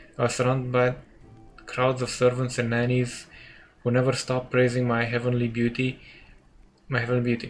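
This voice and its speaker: Music plays in the background as the speaker talks at a fairly quick pace. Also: man. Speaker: let's play gamer. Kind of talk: game dialogue read aloud with commentary.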